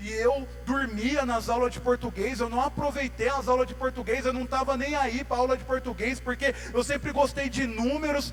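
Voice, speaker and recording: Over music in the background, a man talks at a moderate pace with hardly any pauses. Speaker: lay preacher. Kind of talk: sermon. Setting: church. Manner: informal, slangy.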